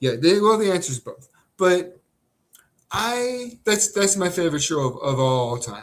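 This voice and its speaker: A man speaks with an American accent in a high pitch. His pitch swings very widely. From California. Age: 40s. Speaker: live stream host. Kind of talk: casual chat. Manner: halting.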